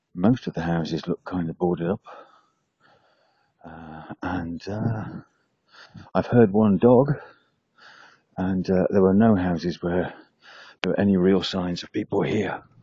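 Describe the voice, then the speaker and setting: Soft-spoken and very deep in pitch, a man talks at a fairly slow pace with ordinary pitch variation, big swings in loudness and long, frequent pauses. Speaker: travel vlogger. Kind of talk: travel vlog narration. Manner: casual, halting with fillers.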